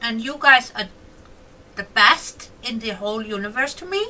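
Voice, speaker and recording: This speaker is a woman. She uses a raised, projected voice. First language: not English (English is her fourth language). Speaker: gaming YouTuber. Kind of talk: casual gameplay commentary. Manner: chatty, animated.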